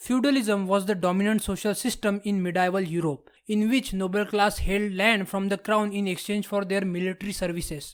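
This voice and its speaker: In a very clean recording with a silent background, a man with a non-native accent talks at a fairly quick pace in a high pitch, with hardly any pauses and fairly even intonation. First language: not English. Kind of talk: history documentary narration.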